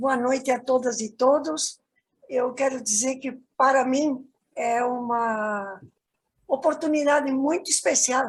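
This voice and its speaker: Speaking at a very slow pace, a woman keeps her intonation fairly even. Her pitch is high. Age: 80s+. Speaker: environmental activist and moderator. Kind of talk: panel greeting.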